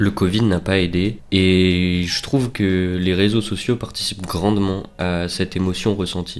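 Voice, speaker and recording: A man speaks at a fairly slow pace with hardly any pauses, his very deep, low voice flat and monotone. Noticeable background noise runs underneath. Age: 20s. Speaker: student vlogger. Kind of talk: personal reflective monologue. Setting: home recording with headset mic. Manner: hesitant, many fillers.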